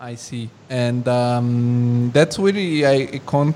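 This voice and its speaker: His intonation is fairly even. The man's pitch sits in the medium range. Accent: Italian. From Italy. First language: Italian. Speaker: podcast host. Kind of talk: interview chat.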